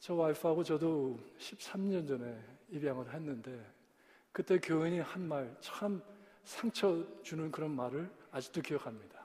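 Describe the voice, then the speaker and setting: Speaking at a very slow pace, a man with a fairly high pitch has a dark, mellow tone and ordinary pitch variation. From US, Korean-American. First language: English (speaking Korean). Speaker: pastor. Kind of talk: sermon. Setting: church. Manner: halting.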